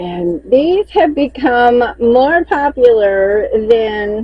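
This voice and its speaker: A woman with a Southern US accent talks at a very slow pace in a relaxed tone, her high pitch swinging very widely. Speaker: crochet maker and seller. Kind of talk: casual inventory walkthrough. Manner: chatty, relaxed.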